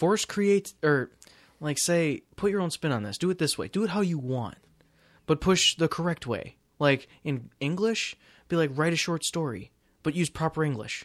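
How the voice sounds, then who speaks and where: In a very clean, dry and close recording with no echo and a silent background, a man with a fairly high pitch speaks at a moderate pace in an animated tone with lively intonation. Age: 20s. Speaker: podcast co-host and college student. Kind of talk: casual chat. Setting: home recording.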